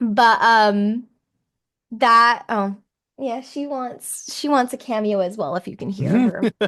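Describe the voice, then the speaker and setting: At a very slow pace, a woman talks in a fairly high pitch with ordinary pitch variation against a quiet background. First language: not English. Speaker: voice actor. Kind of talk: interview. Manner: halting, many fillers.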